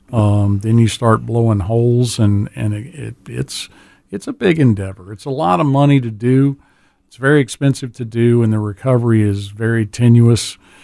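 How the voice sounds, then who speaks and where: A man with a dark, mellow tone and medium pitch shows big swings in loudness. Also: ordinary pitch variation, moderate pace. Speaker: dive shop owner. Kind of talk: casual radio interview.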